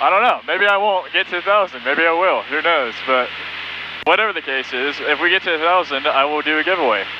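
A man is heard in a dry sound with no echo over noticeable background noise. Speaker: student pilot vlogger. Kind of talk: casual vlog chat. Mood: excited, cheerful. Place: plane. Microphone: headset.

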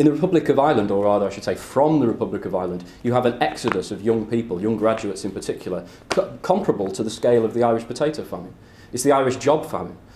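Lively intonation and a British accent carry this very fast pace. Light background noise sits behind the voice. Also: man, medium pitch for a man. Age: 20s. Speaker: political activist speaker; speaker. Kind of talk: lecture; political talk to a meeting. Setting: stage with audience. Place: classroom. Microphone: camera far.

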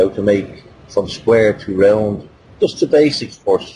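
Over light background noise, a man speaks with a Dublin accent. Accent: Dublin Irish. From Dublin, Ireland. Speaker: blacksmith. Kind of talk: interview answer. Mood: relaxed, candid. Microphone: video call.

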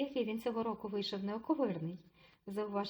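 The voice is an unforced reading voice. It holds from start to finish.

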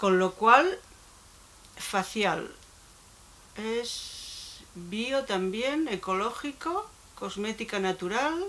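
Speaking at a very slow pace with long, frequent pauses, a woman uses lively intonation at a fairly high pitch. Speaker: beauty YouTuber; beauty vlogger. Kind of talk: unboxing vlog. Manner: halting. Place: home room. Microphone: phone near.

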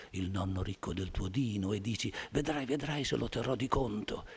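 At a moderate pace, a man talks in a fairly low, somewhat breathy voice. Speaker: poet reading to an audience. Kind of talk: poetry reading. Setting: theatre stage. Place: stage. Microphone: podium.

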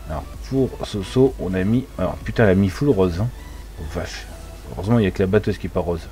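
Music plays in the background as the voice races along at a very fast pace with lively intonation. Long pauses break it up frequently. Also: man, very deep, low pitch for a man. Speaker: gaming streamer. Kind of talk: casual live stream chat.

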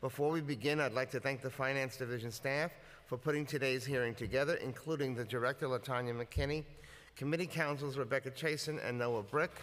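The pace is very fast, with fairly even intonation. Loudness stays very even throughout. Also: man. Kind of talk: formal opening statement. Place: hall. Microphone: podium.

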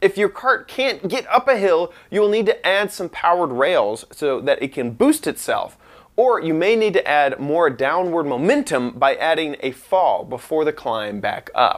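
Against a quiet background, this voice moves at a moderate pace with very wide pitch swings. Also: man. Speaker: online host. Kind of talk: tutorial.

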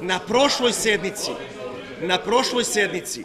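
A man speaks at a high pitch and a fairly slow pace. Noticeable background noise is present. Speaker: city councillor, politician. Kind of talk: parliamentary speech. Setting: city assembly chamber. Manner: insistent, repeatedly interrupting. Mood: indignant, confrontational. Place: hall. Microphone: podium.

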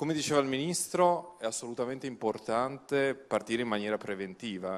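The man speaks with ordinary pitch variation. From Italy. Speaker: museum director, egyptologist; panelist. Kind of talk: panel debate. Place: stage. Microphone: handheld.

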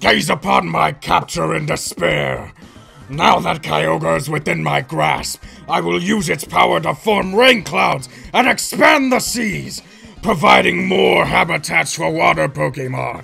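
A man puts on a character voice pitched fairly low. He goes at a fairly slow pace over faint music in the background. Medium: dub. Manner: grandiose, theatrical.

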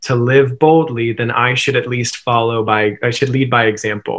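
The background is quiet as a man speaks at a moderate pace. His intonation is fairly even. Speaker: interview guest. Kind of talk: interview answer. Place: home room. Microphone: webcam.

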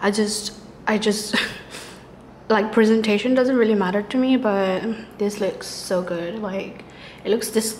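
A relaxed, monotone voice in an American accent, flat in intonation, with long, frequent pauses and light background noise. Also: woman, fairly high pitch for a woman. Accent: American-sounding, picked up from classmates. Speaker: university student studying abroad. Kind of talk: casual vlog talk to camera. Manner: relaxed, chatty.

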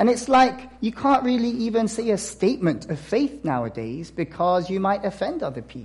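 Speaking at a moderate pace, a man with a high pitch uses lively intonation. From South Korea. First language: Korean. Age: 30s. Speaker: missionary. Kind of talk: sermon. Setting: church. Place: church.

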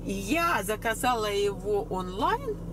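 A woman's lively intonation against loud background noise

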